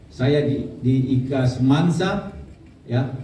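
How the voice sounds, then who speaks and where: A man with a medium-pitched voice speaks with fairly even intonation. Noticeable background noise and audible room echo are present. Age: 50s. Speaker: prosecutor, award recipient. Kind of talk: acceptance speech at anniversary event.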